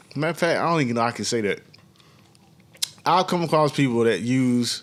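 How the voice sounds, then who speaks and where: A man with a Southern US accent talks at a fairly quick pace, his medium pitch showing ordinary pitch variation. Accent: Southern US, country. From US South. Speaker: podcast co-host. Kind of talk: casual chat.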